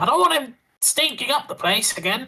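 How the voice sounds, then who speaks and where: A put-on character voice, high in pitch. The delivery moves at a fairly quick pace. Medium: actual play. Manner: sarcastic, joking.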